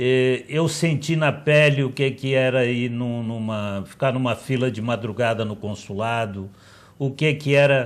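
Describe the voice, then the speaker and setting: This man's voice sits at a medium pitch, moving at a fairly slow pace with ordinary pitch variation. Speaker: politician. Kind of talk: TV debate interview.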